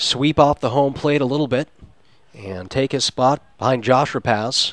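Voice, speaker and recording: Delivered at a moderate pace with fairly even intonation, a plain, everyday voice has a dry, close sound with no echo. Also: man. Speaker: sports broadcaster. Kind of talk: radio baseball play-by-play.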